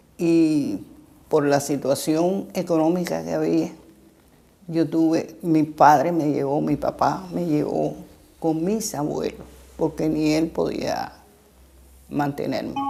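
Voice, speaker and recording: A woman with a Cuban accent speaks at a very slow pace, leaving long, frequent pauses. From Cuba, Santiago de Cuba then Havana. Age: 80s+. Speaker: former literacy campaign volunteer teacher. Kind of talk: interview testimony.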